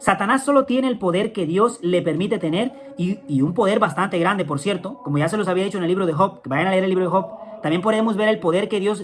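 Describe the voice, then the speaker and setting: Very fast speech over noticeable background noise. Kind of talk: religious teaching talk.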